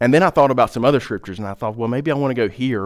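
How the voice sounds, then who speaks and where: A man speaks with a Southern US accent at medium pitch, his pitch varying in an ordinary way. The recording is very clean, with a silent background. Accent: Southern American. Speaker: pastor. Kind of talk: sermon. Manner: hesitant, many fillers.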